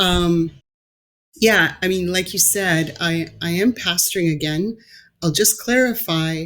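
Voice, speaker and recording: At a fairly slow pace, a woman talks in a normal speaking voice with a fairly low pitch and ordinary pitch variation. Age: 50s. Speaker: pastor. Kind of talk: interview conversation.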